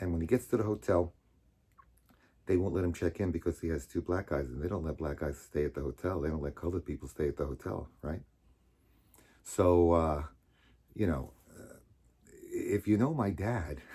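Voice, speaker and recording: A man with an American accent speaks at a very deep, low pitch in a dark, mellow tone with vocal fry. He leaves long, frequent pauses on a very clean recording with a silent background. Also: ordinary pitch variation, moderate pace. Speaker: storyteller. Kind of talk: personal storytelling. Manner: loud; casual, halting with fillers.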